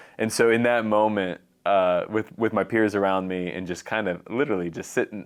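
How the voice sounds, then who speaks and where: A man talks at a fairly low pitch with fairly even intonation. He has a plain, everyday voice. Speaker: podcast co-host; violence reduction official. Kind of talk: casual chat.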